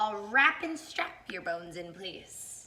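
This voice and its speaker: A woman speaks fairly slowly in a put-on character voice. Her pitch sits at a medium level. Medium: read story.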